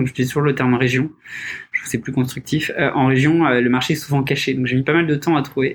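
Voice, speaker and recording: A man uses a normal speaking voice. His medium pitch follows fairly even intonation. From Paris region, France. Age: 30s. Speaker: startup founder. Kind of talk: casual interview. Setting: studio, in person with masks.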